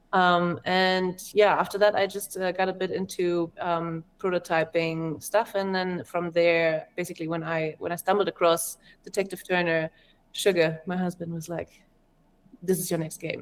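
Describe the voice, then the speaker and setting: A woman with a German accent speaks in a fairly low voice, her intonation monotone and flat. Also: moderate pace, very clean recording, silent background. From Germany. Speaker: game developer. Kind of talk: interview.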